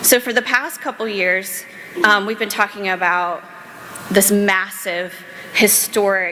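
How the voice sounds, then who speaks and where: A woman with an American accent speaks at a moderate pace, with noticeable background noise and audible room echo. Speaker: panel moderator, policy director. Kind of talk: panel moderation at a conference. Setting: stage with audience. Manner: animated.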